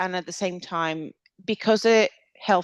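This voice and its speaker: In a Venezuelan accent, a woman with a fairly low pitch talks at a moderate pace with ordinary pitch variation, in a dry, close sound with no echo over a quiet background. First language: Spanish. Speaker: clinical dietitian. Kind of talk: podcast interview.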